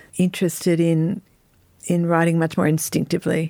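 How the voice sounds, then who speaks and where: At a moderate pace, a woman with an Australian accent speaks at a fairly low pitch in a very clean recording with a silent background. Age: 50s. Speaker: novelist. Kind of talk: interview.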